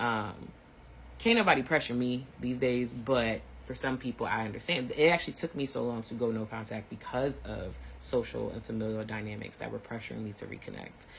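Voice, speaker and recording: Audible room echo surrounds a man who talks at a fairly quick pace, his loudness swinging widely. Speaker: teacher giving online mini lectures. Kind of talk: informal lecture. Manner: fast; casual, conversational.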